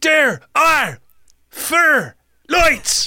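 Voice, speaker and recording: This is a put-on character voice. It sits high in pitch. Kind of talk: flat, ordinary tone.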